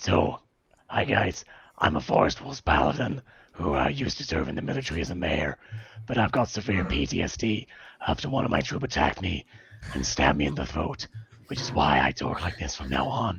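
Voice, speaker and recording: In a put-on character voice, a man talks fairly quickly with a very deep, raspy, strained pitch that swings very widely. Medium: actual play. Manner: friendly, easygoing.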